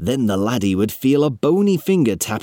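What we hear is an unforced reading voice.

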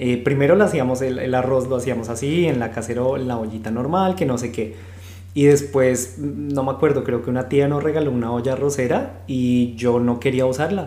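A man speaks at a medium pitch and a moderate pace, with ordinary pitch variation. Audible room echo and noticeable background noise come through. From Colombia, Bogotá. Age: 30s. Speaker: podcast co-host. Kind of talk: casual chat.

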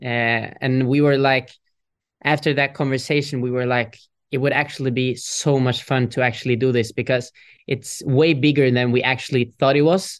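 Against a quiet background, a man talks at a moderate pace and medium pitch, his intonation monotone and flat and his loudness very even. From Norway. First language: Norwegian. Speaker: pop singer. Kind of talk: interview. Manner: halting.

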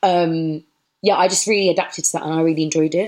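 A woman with a London accent speaks at a fairly low pitch, her intonation fairly even. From southeast London. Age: 20s. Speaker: DJ and label founder. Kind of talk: casual interview.

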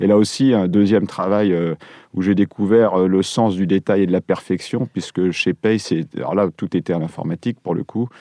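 His voice is very deep and low. The man keeps a fairly even intonation. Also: moderate pace. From French provinces. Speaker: architect. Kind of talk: interview.

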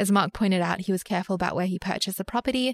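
The voice has an Australian accent and a dry, close sound with no echo. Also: woman. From Sydney, Australia (western suburbs). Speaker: investment podcast co-host. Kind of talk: casual chat about personal finance.

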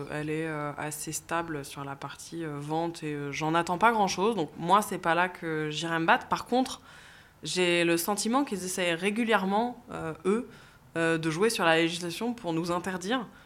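A woman speaks in a normal speaking voice at a fairly low pitch. Her pace is fairly slow, with ordinary pitch variation. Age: 30s. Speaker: CEO of a property listings company. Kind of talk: interview.

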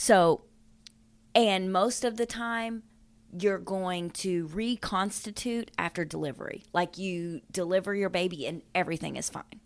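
On a very clean recording with a silent background, a woman has a normal speaking voice of medium pitch, talking at a fairly slow pace with ordinary pitch variation. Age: 40s. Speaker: true crime podcast co-host. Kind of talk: casual chat with storytelling.

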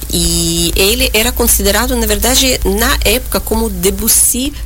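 A woman with a Russian accent talks at a fairly slow pace in very even loudness, with audible room echo and noticeable background noise. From Uzbekistan, near Tashkent. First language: Russian (speaking Portuguese). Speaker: concert pianist. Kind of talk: radio interview. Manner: halting, with fillers.

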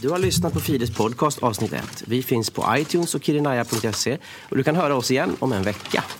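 Against noticeable background noise, a man speaks fairly quickly in a medium pitch with lively intonation. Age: 30s. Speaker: actor and podcast host. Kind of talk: comedic scripted chat.

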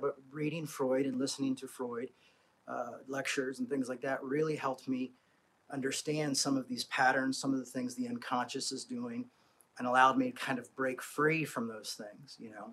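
Intonation stays fairly even at a moderate pace. The tone is fairly bright with a slightly husky edge. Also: man, medium pitch for a man.

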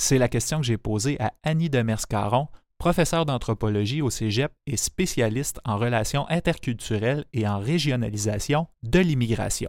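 A man's medium-pitched voice with a Quebec accent, at a moderate pace with hardly any pauses. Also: ordinary pitch variation, very clean recording, silent background. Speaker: podcast host and narrator. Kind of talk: scripted narration.

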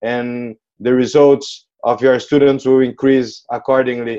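A man with a Portuguese accent speaks at a fairly slow pace. His dark, mellow tone stays monotone and flat. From Brazil. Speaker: company colleague, former student. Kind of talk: interview.

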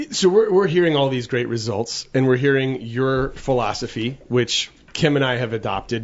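In a normal speaking voice, a man talks at a fairly quick pace with a medium pitch. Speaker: podcast co-host. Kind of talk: casual chat. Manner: fast talker.

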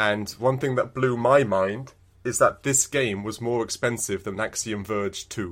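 A normal speaking voice from a man, medium in pitch and fairly even in intonation, at a fairly slow pace on a very clean recording with a silent background. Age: 30s. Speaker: video game podcast co-host. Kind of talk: casual chat.

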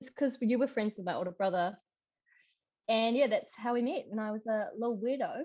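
Over a quiet background, a woman talks fairly quickly in a normal speaking voice, fairly high in pitch with ordinary pitch variation. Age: 20s. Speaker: podcast guest, former landscaper. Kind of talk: casual chat.

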